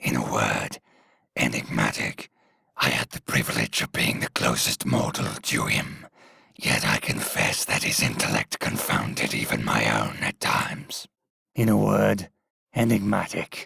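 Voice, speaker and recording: Using a put-on character voice, the man pitches his speech very deep and low. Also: moderate pace. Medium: solo performance. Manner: formal, reflective.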